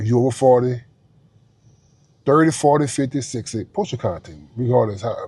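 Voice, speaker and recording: A man with a somewhat breathy, dark, mellow voice of medium pitch speaks at a moderate pace with ordinary pitch variation and long, frequent pauses. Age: 40s. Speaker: vlogger. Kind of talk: motivational vlog monologue. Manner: animated; repetitive, halting.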